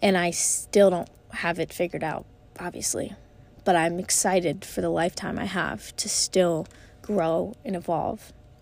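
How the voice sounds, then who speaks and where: A woman talks at a moderate pace with a fairly low pitch, vocal fry, and ordinary pitch variation. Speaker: podcast host. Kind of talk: solo motivational monologue. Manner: casual, rambling with fillers.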